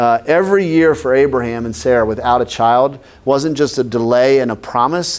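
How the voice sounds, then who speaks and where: With an animated tone, a man at medium pitch talks fairly quickly with ordinary pitch variation. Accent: American. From northern US. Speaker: pastor. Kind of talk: sermon. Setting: church class with audience. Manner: conversational, animated.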